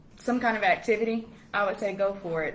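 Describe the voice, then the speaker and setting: A woman with a Southern US accent, in a room with audible echo. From US South, Washington, Georgia. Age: 20s. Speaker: English teacher abroad. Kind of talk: casual interview chat. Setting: live stream.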